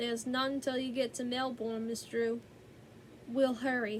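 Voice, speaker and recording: Woman's put-on character voice, high-pitched and drawling, with monotone, flat intonation at a moderate pace over clear background noise. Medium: read story. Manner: folksy, drawling.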